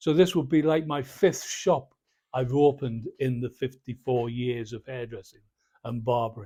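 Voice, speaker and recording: Dark, mellow tone and a somewhat breathy quality in a man's voice. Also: medium pitch for a man, ordinary pitch variation, moderate pace, big swings in loudness, very clean recording, silent background. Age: 70s. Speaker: barber and retired hairdressing teacher. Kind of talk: casual vlog monologue.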